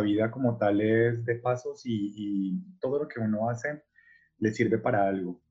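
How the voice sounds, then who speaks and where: A man speaks at a medium pitch, his voice somewhat breathy with ordinary pitch variation. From Colombia, Cali. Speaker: artist. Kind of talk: interview. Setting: video call.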